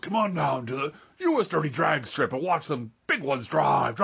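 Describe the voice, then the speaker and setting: In a booming, put-on character voice with a low-to-middle pitch, the speaker goes at a moderate pace. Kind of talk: TV ad announcer style. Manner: hyped, booming, promotional.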